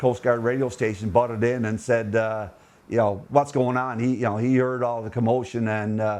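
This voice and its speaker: With a Newfoundland accent, a man of medium pitch speaks at a moderate pace with fairly even intonation. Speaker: retired lighthouse keeper. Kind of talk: interview answer. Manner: hesitant, conversational.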